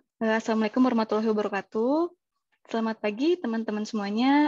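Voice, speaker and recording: A woman's fairly high-pitched voice in a dry, close sound with no echo. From Indonesia, Bandung (West Java). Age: 20s. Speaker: civil engineering freelancer, webinar speaker. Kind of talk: webinar presentation. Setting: online webinar. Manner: hesitant fillers (eh).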